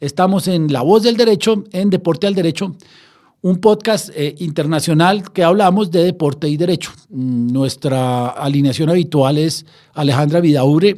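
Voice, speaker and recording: A man with a Bogotá accent speaks at a moderate pace in a high pitch, with ordinary pitch variation and a dark, mellow tone. The recording is very clean, with a silent background. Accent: Colombian Spanish (Bogotá). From Colombia, Bogotá. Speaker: sports law podcast host. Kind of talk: casual podcast discussion. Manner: hesitant, many fillers.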